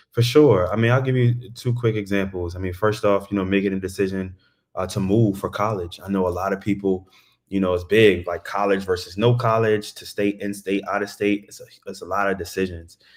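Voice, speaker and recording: Talking at a fairly quick pace, a man uses a normal speaking voice. His intonation stays fairly even. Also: fairly low pitch for a man. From Baltimore, Maryland, US. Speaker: tech sales account executive. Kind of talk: interview. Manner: casual, conversational.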